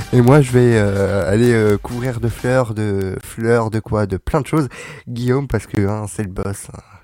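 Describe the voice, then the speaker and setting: A man at a medium pitch and a fairly slow pace, with fairly even intonation and music in the background. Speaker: radio host. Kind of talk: casual radio show hosting. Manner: loud.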